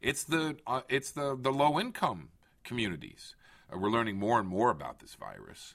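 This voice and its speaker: On a very clean recording with a silent background, a man with vocal fry talks at a moderate pace through very wide pitch swings. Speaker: government official hosting a podcast. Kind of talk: interview.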